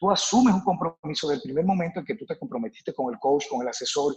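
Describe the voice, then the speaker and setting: A man's voice with very wide pitch swings. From Dominican Republic, Santo Domingo. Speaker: fitness coach. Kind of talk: interview.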